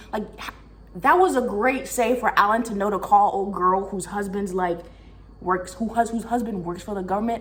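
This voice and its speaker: Over noticeable background noise, a woman speaks at medium pitch in an animated tone, with ordinary pitch variation and big swings in loudness. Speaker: book reviewer. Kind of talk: casual chat. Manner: fast.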